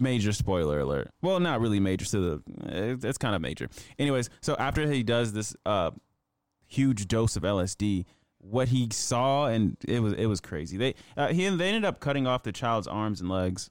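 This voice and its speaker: The recording is very clean with a silent background. A man with an unremarkable speaking voice talks at a moderate pace and a fairly low pitch, his intonation lively. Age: 20s. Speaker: podcast co-host. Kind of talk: casual chat.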